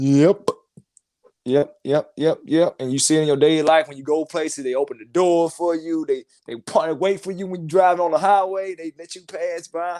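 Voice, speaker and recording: A man's high-pitched voice with a Mississippi accent, moderate pace and fairly even intonation, dark and mellow in tone, dry and close with no echo, with big swings in loudness. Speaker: caller. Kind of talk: casual call-in chat.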